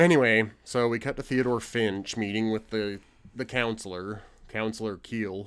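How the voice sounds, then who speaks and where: A man's medium-pitched, a normal speaking voice at a moderate pace, with ordinary pitch variation. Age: 30s. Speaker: podcast co-host. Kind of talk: casual chat.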